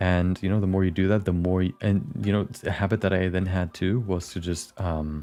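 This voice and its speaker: A man with a non-native accent, very deep, low pitch, fairly quick pace and fairly even intonation, with music in the background. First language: not English. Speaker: animator streamer. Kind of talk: casual chat. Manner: halting.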